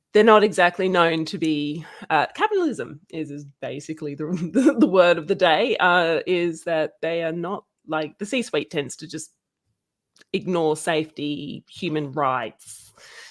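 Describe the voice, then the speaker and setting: Fairly slow and low-pitched, a woman speaks in an Australian accent with big swings in loudness. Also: ordinary pitch variation. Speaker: guest co-host. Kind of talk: live stream discussion. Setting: live stream video call. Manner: halting, many fillers.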